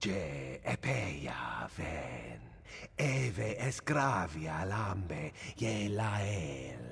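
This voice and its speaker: A put-on character voice moves at a very slow pace over light background noise. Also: man, very deep, low pitch for a man. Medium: video game. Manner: proud, haughty.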